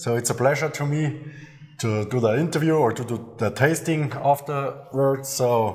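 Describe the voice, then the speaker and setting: With a German accent, a man speaks at a fairly high pitch and a fairly slow pace with ordinary pitch variation, amid noticeable background noise and audible room echo. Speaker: master distiller. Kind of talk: interview. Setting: on location at a distillery.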